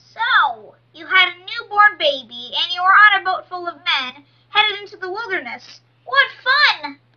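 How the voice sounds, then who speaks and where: A woman speaks in a cartoonish character voice at a moderate pace, her extremely high pitch swinging very widely. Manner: sugary, self-admiring.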